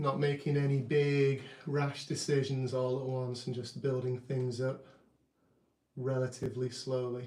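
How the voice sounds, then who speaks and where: Fairly slow and calm, a relaxed voice with a dark, mellow, somewhat breathy tone keeps a monotone, flat intonation. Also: man, medium pitch for a man. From UK. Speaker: artist and drummer, channel owner. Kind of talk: live stream art commentary. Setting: home art studio, live stream. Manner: calm, relaxed.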